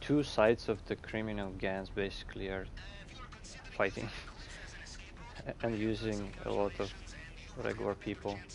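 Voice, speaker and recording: A man talks with a Russian accent. His speech has long, frequent pauses. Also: moderate pace. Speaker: gaming streamer. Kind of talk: live gameplay chat. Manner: halting.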